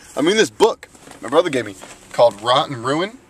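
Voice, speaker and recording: Background noise is noticeable. The speaker is a man. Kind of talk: casual talk to camera. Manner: casual, rambling, many fillers.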